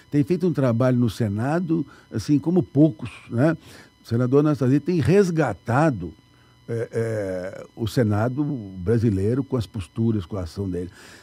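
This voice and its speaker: A man speaks at a moderate pace with lively intonation and a dark, mellow, somewhat breathy tone, the sound dry with no echo. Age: 70s. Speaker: municipal finance secretary; guest. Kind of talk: radio interview. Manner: halting. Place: studio. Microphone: studio mic.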